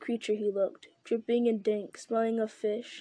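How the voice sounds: Simply a natural reading voice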